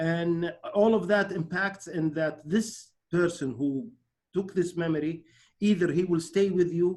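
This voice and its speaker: A man speaks with an Arabic accent at a high pitch. His pace is fairly slow and his intonation fairly even. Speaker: webinar host. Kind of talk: online interview. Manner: halting.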